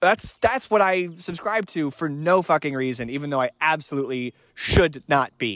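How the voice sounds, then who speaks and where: In a very clean recording with a silent background and a dry, close sound with no echo, a man with an American accent uses an ordinary speaking voice at a fairly high pitch, with lively intonation and a moderate pace. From North Carolina, US South. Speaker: podcast guest, sports fan. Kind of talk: casual comedic chat.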